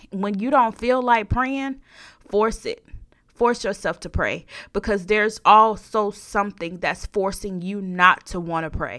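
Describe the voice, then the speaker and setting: A woman's bright, sharp tone at a fairly slow pace, on a very clean recording with a silent background. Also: medium pitch for a woman, ordinary pitch variation. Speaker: podcast host. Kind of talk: sermon-like devotional monologue ending in a prayer; fervent preacher rant, urging listeners to take blessings by force. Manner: animated, emphatic, repeating lines for punch; conversational, with filler words.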